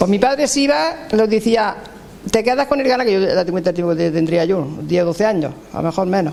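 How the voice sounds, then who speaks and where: Noticeable background noise sits behind a man whose high-pitched voice moves with lively intonation at a moderate pace. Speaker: elderly villager. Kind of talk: interview recollection.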